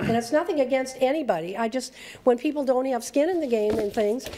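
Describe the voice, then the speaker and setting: A woman talks over noticeable background noise. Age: 70s. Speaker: planning commission member. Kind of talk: public meeting discussion.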